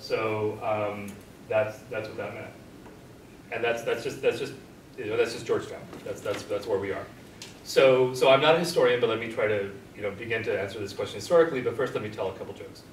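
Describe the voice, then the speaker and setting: Amid light background noise and audible room echo, a man with an American accent talks very fast, with big swings in loudness and long, frequent pauses. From Los Angeles, California. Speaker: professor. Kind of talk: panel discussion. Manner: halting, many repetitions. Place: classroom. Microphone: camera far.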